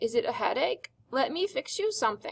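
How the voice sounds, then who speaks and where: Using a put-on character voice, a woman talks fairly quickly at an extremely high pitch with very wide pitch swings. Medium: read story. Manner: weak, kindly.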